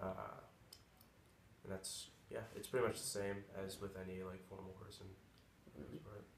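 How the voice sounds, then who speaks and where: A fairly low-pitched man at a moderate pace, with fairly even intonation, long, frequent pauses and noticeable background noise. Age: 20s. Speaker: college student. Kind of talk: interview answer. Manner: casual, hesitant.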